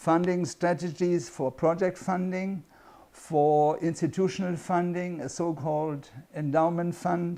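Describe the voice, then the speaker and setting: A man with a German accent speaks at a fairly high pitch and a fairly slow pace, in a dark, mellow tone with monotone, flat intonation. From Germany. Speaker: international consultant and course instructor. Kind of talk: course introduction.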